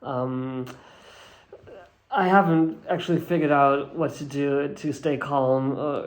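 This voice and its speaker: Pausing long and often, a man talks at a fairly slow pace in a fairly high pitch with fairly even intonation, and room echo is audible. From Germany. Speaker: actor. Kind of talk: interview. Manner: halting.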